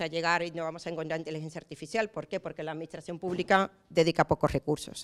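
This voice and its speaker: In an Andalusian accent, a woman speaks in an animated tone on a very clean recording with a silent background. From Andalusia, Spain. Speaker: municipal auditor and lecturer. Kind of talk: conference talk. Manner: fast.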